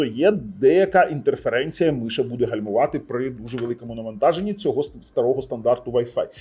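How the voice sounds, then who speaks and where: Lively intonation runs through this man's dark, mellow tone. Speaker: tech reviewer. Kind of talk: product review. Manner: casual, conversational.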